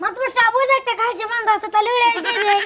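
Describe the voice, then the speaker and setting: Squeaky and extremely high, a woman puts on a character voice. She rattles along very fast with fairly even intonation. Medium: comedy sketch. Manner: eager, wheedling.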